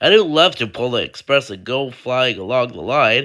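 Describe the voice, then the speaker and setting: A put-on character voice at a low-to-middle pitch and a moderate pace, on a very clean recording with a silent background. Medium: read story.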